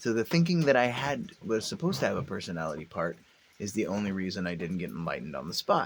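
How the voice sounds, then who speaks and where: With a fairly low pitch, a man's voice moves through very wide pitch swings. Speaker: vlogger. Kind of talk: casual monologue. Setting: outdoors on front porch. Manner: hesitant, many fillers.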